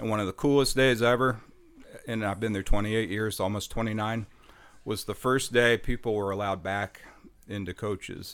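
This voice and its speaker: A man with an American accent speaks at a moderate pace in a fairly low voice, his intonation fairly even. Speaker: bar owner. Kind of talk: casual chat. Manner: soft-spoken.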